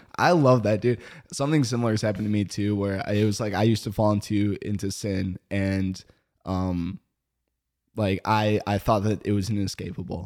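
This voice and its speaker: Fairly brisk delivery in a normal speaking voice, with a very clean recording and a silent background. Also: man, fairly low pitch for a man, ordinary pitch variation. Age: 20s. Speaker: podcast host. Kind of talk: casual chat.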